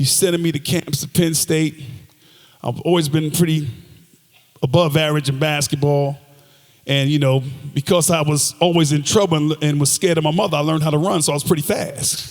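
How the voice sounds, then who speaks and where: With an ordinary speaking voice, a man speaks at a fairly quick pace, his fairly high pitch carried on fairly even intonation. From New Jersey, Passaic. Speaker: motivational speaker, former football player. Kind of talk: motivational speech.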